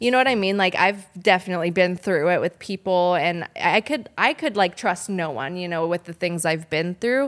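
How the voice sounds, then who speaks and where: This woman has an unremarkable speaking voice with an American accent, medium pitch and ordinary pitch variation. She speaks with hardly any pauses. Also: moderate pace, very clean recording, silent background. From Southern California (Orange County). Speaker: psychic medium, actress. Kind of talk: casual interview chat. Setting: studio.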